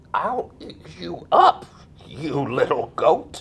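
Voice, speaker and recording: The speaker puts on a character voice. The delivery is very slow. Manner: trying to seem threatening.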